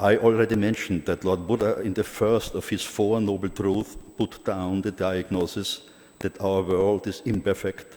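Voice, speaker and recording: With fairly even intonation, a man speaks at a fairly slow pace and a fairly low pitch. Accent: strong Austrian. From Austria. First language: German. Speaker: Buddhist organization president, conference speaker. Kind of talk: conference speech. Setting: conference hall. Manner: formal.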